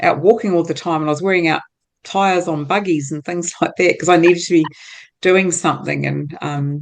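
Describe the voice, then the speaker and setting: A woman with a New Zealand accent, fairly low in pitch, at a fairly quick pace with fairly even intonation against a quiet background. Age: 60s. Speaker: entrepreneur. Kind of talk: interview.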